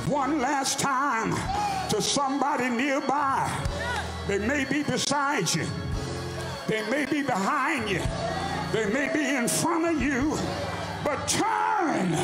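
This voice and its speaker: Over loud background noise, a man speaks very slowly, leaving long, frequent pauses. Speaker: pastor. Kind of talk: preaching, closing a sermon with a whooping finish. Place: church. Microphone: handheld.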